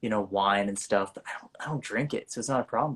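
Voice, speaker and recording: With an American accent, a man speaks in an unremarkable speaking voice at a fairly low pitch with ordinary pitch variation. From US South. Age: 20s. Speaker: actor. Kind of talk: casual chat.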